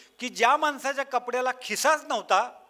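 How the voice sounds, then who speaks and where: Raised and projected, a man's extremely high voice has a bright, sharp tone. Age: 60s. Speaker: motivational speaker on parenting. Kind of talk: public talk to parents.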